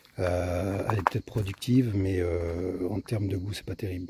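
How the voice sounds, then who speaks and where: A soft-spoken man talks in a fairly low, somewhat breathy voice with a dark, mellow tone and fairly even intonation. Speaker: home gardener, video maker. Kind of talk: casual garden tour vlog. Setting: outdoors in vegetable garden. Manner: soft, quiet speaking; hesitant, many fillers.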